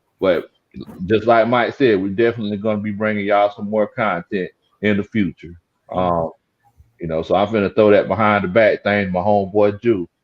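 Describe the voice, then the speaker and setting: The speaker has a strong Southern US accent and a fairly quick pace. Intonation stays fairly even. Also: man, fairly low pitch for a man. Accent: Southern country accent, strong. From South Carolina Lowcountry (Gullah Geechee). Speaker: sports YouTuber, football commentator. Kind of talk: casual sports talk livestream. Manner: trying to speak clearly.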